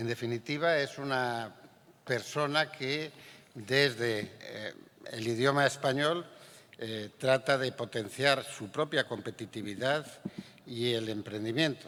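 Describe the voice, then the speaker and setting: A man's words come out very slowly, his medium pitch rising and falling in an ordinary way. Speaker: panel moderator. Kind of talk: moderating a panel.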